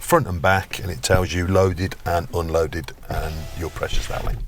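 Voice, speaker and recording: With a very deep, low voice and fairly even intonation, a man speaks over noticeable background noise. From English Midlands, Birmingham. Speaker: trainee driving instructor. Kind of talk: casual chat.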